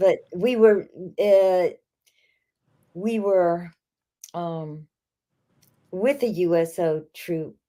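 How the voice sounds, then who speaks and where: Speaking at a very slow pace with long, frequent pauses, a woman uses a dark, mellow tone at medium pitch with ordinary pitch variation. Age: 80s+. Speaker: bikini fitness model and former entertainer. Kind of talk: interview answer.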